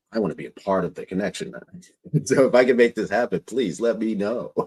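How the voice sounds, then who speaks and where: With a fairly low pitch and big swings in loudness, a man talks at a fairly quick pace broken by long, frequent pauses, in a dry, close sound with no echo. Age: 50s. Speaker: podcast host. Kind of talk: interview. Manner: animated.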